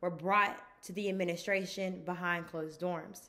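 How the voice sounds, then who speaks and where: The tone is bright and sharp, and the pace is moderate. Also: woman. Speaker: graduating student. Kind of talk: commencement speech. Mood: proud, warm, encouraging. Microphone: phone near.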